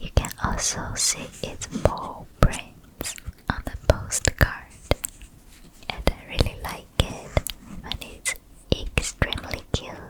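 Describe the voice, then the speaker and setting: A whisper proceeds very slowly, broken by long, frequent pauses, with noticeable noise in the background. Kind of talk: ASMR roleplay, comforting soft-spoken show and tell. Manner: soft-spoken, gentle, comforting.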